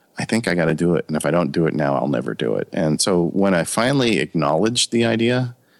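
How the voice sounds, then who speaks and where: A man's very deep, low voice in an American accent, with vocal fry and lively intonation. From US West Coast, Ontario California. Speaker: lawyer and tech podcaster. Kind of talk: interview.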